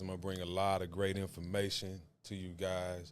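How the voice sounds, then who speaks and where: A man speaks in a very deep, low voice with a Southern US accent. His delivery is fairly slow and monotone, with audible room echo. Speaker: podcast host. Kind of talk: casual chat.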